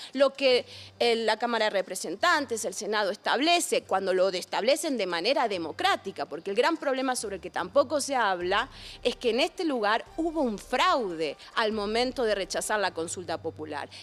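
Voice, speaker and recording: A woman with an Argentine accent speaks at a fairly high pitch and a moderate pace, her pitch swinging very widely. The recording is very clean, with a silent background. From Argentina. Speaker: philosopher. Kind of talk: interview. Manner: animated.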